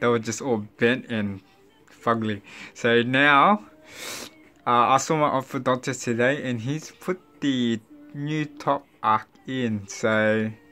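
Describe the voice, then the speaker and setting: Faint music plays in the background as a man speaks at a very slow pace, with ordinary pitch variation and long, frequent pauses. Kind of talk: casual vlog chat. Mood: upbeat, animated. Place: home room. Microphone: phone near.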